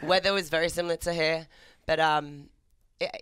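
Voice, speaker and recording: A woman with a British accent speaks at a fairly low pitch with fairly even intonation, in a very clean recording with a silent background. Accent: British, still noticeable. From England, Maidenhead near London. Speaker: fitness entrepreneur. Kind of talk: casual chat. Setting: studio.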